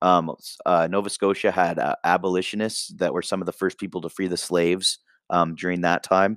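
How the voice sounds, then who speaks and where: Very deep, low male speech with a Canadian accent, monotone, flat intonation and a fairly quick pace, on a very clean recording with a silent background and a dry, close sound with no echo. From Canada, East Coast and Ontario. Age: 20s. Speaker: podcaster. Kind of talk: casual monologue. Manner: rambling, hesitant with fillers.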